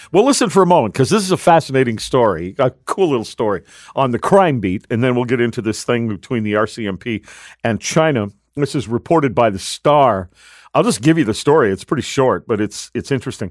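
An ordinary speaking voice, a man at medium pitch, comes through dry and close with no echo on a very clean recording with a silent background. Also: lively intonation. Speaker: radio host. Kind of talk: live radio talk show. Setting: studio.

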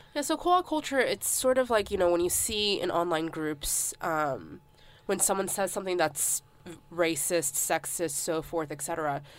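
Speaking at a moderate pace with lively intonation, a woman with an American accent has an ordinary speaking voice and a fairly low pitch. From United States. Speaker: graduate student. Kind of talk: casual chat.

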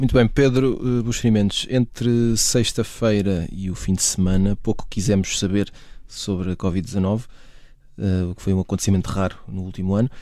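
A man's dark, mellow voice, fairly low in pitch, with fairly even intonation and a moderate pace. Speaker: podcast host. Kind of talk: panel discussion moderation.

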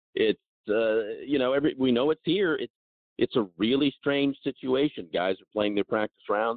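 A man has an unremarkable speaking voice at medium pitch with ordinary pitch variation. He keeps a moderate pace, and his loudness swings widely. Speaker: golf radio show host. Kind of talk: casual interview chat.

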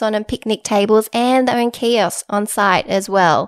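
Heard in a very clean recording with a silent background, a woman with an Australian accent speaks at a moderate pace and a fairly high pitch with fairly even intonation. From Sydney, Sutherland Shire. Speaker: podcast host. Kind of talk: casual chat.

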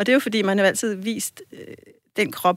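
A woman speaks in an unremarkable speaking voice at medium pitch and moderate pace. The sound is dry and close with no echo. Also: very clean recording, silent background. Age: 40s. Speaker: sex educator. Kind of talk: casual chat.

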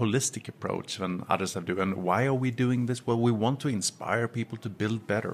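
A man with an ordinary speaking voice, medium pitch and ordinary pitch variation, at a fairly quick pace. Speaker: company CEO. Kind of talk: interview.

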